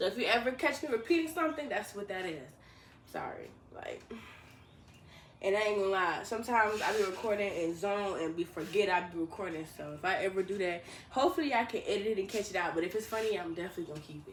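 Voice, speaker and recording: Very fast mumbling from a woman at a medium pitch, with big swings in loudness. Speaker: vlogger. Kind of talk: casual vlog monologue.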